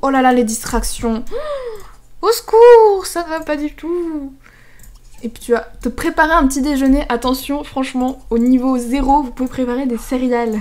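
A woman's high-pitched voice at a fairly slow pace, with ordinary pitch variation, big swings in loudness and long, frequent pauses. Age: young. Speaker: gaming YouTuber. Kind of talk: casual gameplay commentary.

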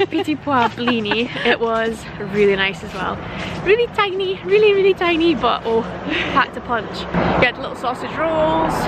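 Loud background noise fills the clip, though her voice sounds dry with no echo. The woman talks at a moderate pace. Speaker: vlogger. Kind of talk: casual vlog chat. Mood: cheerful, chatty. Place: street. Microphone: phone near.

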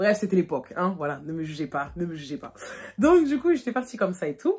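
Fairly quick, somewhat breathy speech from a woman, animated in tone with very wide pitch swings. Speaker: YouTuber; vlogger. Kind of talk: storytime. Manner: casual, many fillers. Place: home room. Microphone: phone near.

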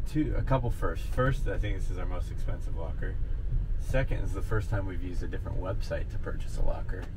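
Talking at a fairly quick pace, a man is heard over loud background noise. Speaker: reseller vlogger. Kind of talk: casual vlog chat. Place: car. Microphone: camera far.

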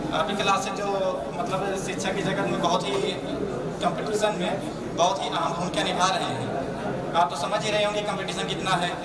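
A man speaks at a moderate pace. Loud background noise fills the clip. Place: classroom.

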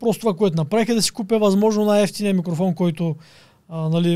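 Over a quiet background, a man speaks at a very fast pace in a high, dark and mellow voice with ordinary pitch variation. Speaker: online entrepreneur and influencer. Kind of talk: casual interview. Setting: studio. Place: studio. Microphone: studio mic.

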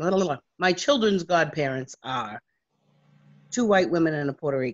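In a dry, close sound with no echo, a woman with a very deep, low voice speaks at a moderate pace with lively intonation. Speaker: community organizer. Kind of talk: speech. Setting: video call.

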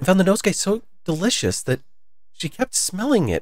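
This recording captures a natural reading voice.

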